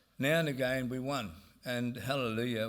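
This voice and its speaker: The voice has ordinary pitch variation, with audible room echo around it. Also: man. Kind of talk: conference speech. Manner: halting, many fillers.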